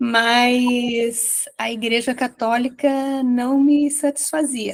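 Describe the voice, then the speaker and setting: This woman's voice is high-pitched. She speaks in a monotone, with flat intonation. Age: 70s. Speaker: study group participant. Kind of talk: testimony.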